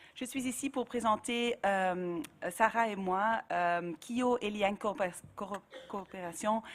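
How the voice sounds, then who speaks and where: A woman with a medium-pitched voice talks very slowly, captured on a very clean recording with a silent background. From Flanders, Belgium. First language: Dutch (speaking French). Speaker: NGO director. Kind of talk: panel discussion. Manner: halting.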